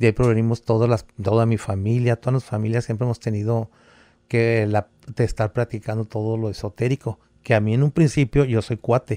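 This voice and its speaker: A man talks at a medium pitch in a dark, mellow tone with fairly even intonation. The recording is very clean, with a silent background and a dry, close sound with no echo. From Veracruz, Mexico. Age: 70s. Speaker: santero and former teacher. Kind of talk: casual interview chat, storytelling.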